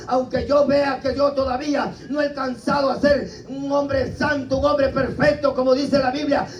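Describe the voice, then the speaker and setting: An extremely high-pitched man at a moderate pace, flat and monotone, amid audible room echo and noticeable background noise. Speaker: preacher. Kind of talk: sermon.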